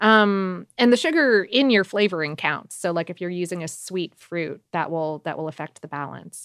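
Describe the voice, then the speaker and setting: This woman has a normal speaking voice with a fairly low pitch, lively intonation, a moderate pace and big swings in loudness, heard in a dry, close sound with no echo. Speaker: podcast host. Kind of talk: casual chat. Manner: casual, filler-heavy.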